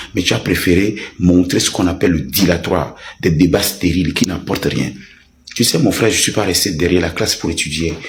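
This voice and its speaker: Noticeable background noise sits behind a man with a very deep, low pitch. He talks at a fairly quick pace with ordinary pitch variation. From Togo. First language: a Togolese language (speaking French). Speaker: online commentator. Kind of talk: heated rant. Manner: animated.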